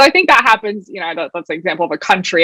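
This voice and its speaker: A woman speaks with a West Coast US accent. The sound is dry and close, with no echo. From Oregon, US. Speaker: product executive. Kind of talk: panel discussion.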